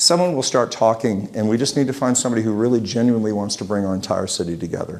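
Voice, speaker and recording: A man with an American accent speaks with ordinary pitch variation. There is noticeable background noise. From Utah. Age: 60s. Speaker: local business owner and civic speaker. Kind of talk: talk to a community group. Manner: halting, many restarts.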